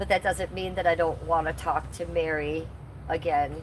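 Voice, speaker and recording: A woman keeps a moderate pace while noticeable noise carries on behind her. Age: 50s. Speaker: live streamer. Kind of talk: casual chat. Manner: casual, halting with fillers.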